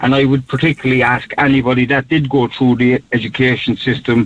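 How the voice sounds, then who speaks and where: A man with a Cork accent, monotone and flat in intonation, at a moderate pace. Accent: Cork Irish. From Cork city, north side. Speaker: podcaster and mental health advocate. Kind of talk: interview. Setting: phone call.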